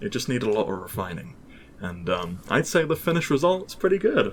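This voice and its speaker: With a British accent, a man talks at a fairly quick pace at medium pitch, his voice showing vocal fry. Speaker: mod developer, podcast guest. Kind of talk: casual podcast interview. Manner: hesitant, many fillers.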